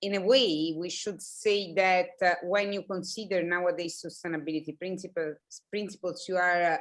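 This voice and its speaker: A woman with an Italian accent, fairly low in pitch, at a moderate pace with fairly even intonation. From Italy. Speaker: planning academic. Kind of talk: panel discussion.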